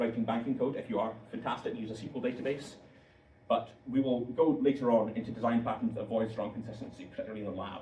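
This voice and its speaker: A man talks at a very fast pace with a medium pitch and fairly even intonation. Noticeable background noise and audible room echo surround him. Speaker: software engineer giving guest lecture. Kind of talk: lecture.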